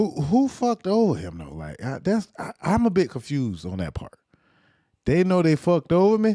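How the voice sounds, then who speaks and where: In a Louisiana accent, a man talks at a moderate pace with big swings in loudness, and the sound is dry and close with no echo. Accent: Louisiana Southern US. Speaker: podcast host. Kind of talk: casual commentary.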